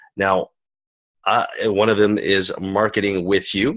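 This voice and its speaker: At a fairly slow pace, a man talks with a Canadian accent. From Canada. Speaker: summit interview host. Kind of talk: online interview. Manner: casual.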